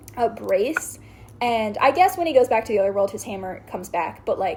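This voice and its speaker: A woman talks at a fairly quick pace in a fairly high, somewhat breathy voice with lively intonation. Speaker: show explainer recapping a series. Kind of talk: casual chat.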